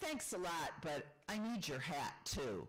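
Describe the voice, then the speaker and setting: Raspy and at a middle pitch, a put-on character voice goes along at a fairly slow pace. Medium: read story.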